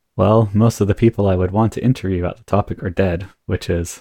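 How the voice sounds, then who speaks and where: A man's very deep, low voice, somewhat breathy, with fairly even intonation and a fairly quick pace, dry and close with no echo, on a very clean recording against a silent background. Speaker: game master and podcast host. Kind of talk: tabletop roleplaying actual play, casual chat.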